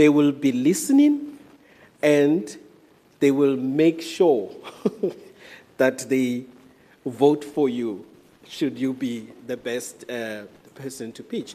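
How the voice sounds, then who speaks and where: A man with a strong African accent speaks at a very slow pace with long, frequent pauses, a fairly high pitch and a dark, mellow tone. His pitch varies in an ordinary way while his loudness swings widely. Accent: thick African. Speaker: event moderator. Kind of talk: event hosting.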